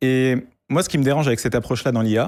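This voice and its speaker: Captured on a very clean recording with a silent background, a man speaks at medium pitch with ordinary pitch variation. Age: 20s. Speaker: AI student and project creator. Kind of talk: interview on a live tech show.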